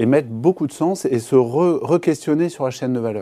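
The pace is moderate. A man speaks with ordinary pitch variation. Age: 40s. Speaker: company CEO and founder. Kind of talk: business interview. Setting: TV studio. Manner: hesitant, repeats words.

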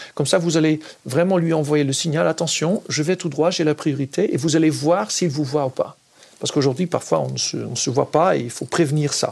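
Fairly high in pitch, a man talks at a moderate pace with a Dutch accent. His intonation stays fairly even. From Netherlands. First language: Dutch (speaking French). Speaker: cycling advocacy spokesperson. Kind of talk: interview.

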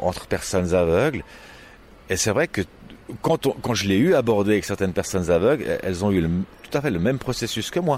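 A man talking at a fairly quick pace, with very wide pitch swings and long, frequent pauses. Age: 60s. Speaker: blind echolocation practitioner. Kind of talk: interview.

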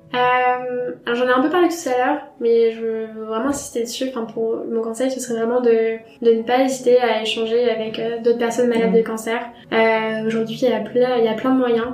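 Woman's voice, fairly high-pitched and monotone with flat intonation, at a moderate pace, with audible room echo and noticeable background noise. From France, Troyes. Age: 20s. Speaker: cancer survivor, blogger. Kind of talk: testimony. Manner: halting.

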